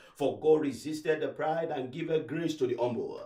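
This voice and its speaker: Using ordinary pitch variation, a man with an unremarkable speaking voice talks at a fairly high pitch. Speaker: pastor leading a prayer line. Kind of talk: preaching and leading congregation in decrees. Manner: loud, fervent, commanding.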